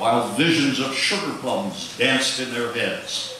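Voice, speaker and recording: A man speaks over noticeable background noise. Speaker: radio DJ. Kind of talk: poetry reading. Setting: live theatre stage.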